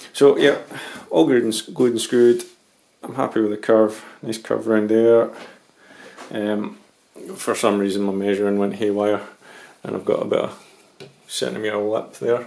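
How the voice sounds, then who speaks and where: Man with a Scottish accent and a fairly low pitch, fairly quick yet with long, frequent pauses, his intonation fairly even while his loudness swings widely. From Scotland. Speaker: model railway hobbyist. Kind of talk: tutorial. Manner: hesitant, many ums.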